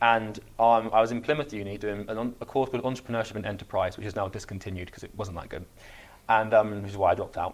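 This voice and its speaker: At a very fast pace, a man with a fairly low pitch speaks with fairly even intonation and big swings in loudness. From England, Somerset. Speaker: entrepreneur. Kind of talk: podcast interview. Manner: halting.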